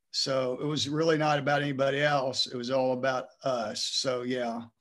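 A man with an ordinary speaking voice and an American accent, medium pitch, ordinary pitch variation, and a fairly slow pace. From Texas. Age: 60s. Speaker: retired high school principal. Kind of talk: interview.

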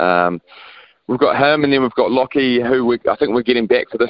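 With a New Zealand accent, a man speaks at a fairly quick pace. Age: 30s. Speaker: professional cricketer. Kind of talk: radio interview.

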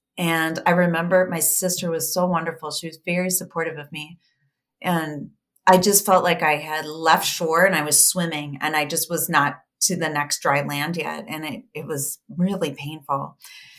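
This is a normal speaking voice with fairly even intonation at a moderate pace. Its loudness swings widely. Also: woman, fairly low pitch for a woman. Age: 50s. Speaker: life coach and coach trainer. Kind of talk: casual conversation.

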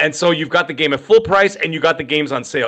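A man talks at a very fast pace with lively intonation and a fairly high pitch. His tone is bright and sharp. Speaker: gaming podcast co-host. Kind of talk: casual chat. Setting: live stream video call.

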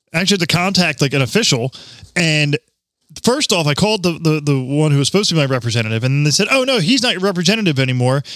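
In a very clean recording with a silent background, a man with a fairly high pitch talks very fast with lively intonation. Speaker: podcast host. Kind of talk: casual banter podcast. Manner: profane, joking.

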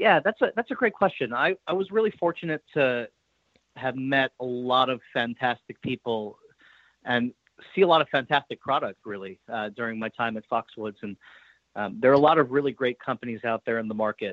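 Using a normal speaking voice, a man talks fairly quickly at a medium pitch with lively intonation. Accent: American. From New York. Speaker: sports betting executive. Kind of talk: interview.

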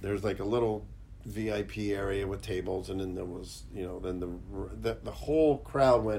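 In an American accent, a man speaks fairly slowly with ordinary pitch variation, and audible room echo surrounds him. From Pittsburgh, US. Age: 50s. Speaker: special effects artist. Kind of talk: casual interview chat. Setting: studio.

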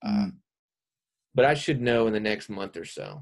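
A man's ordinary speaking voice with an American accent, medium pitch and moderate pace, on a very clean recording with a silent background. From South Carolina. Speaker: actor. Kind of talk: casual chat.

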